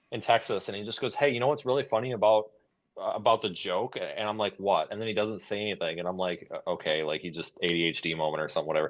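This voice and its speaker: Delivered at a very fast pace, the speech has ordinary pitch variation and an American accent. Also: man, fairly low pitch for a man. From United States. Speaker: storm chaser. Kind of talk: casual chat. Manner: animated, halting with restarts.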